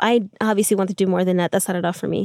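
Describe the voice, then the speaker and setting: The recording is very clean, with a silent background and a dry, close sound with no echo. A woman speaks in a monotone, flat intonation. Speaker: climbing instructor and routesetter. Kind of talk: casual chat. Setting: in a van. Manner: soft-spoken.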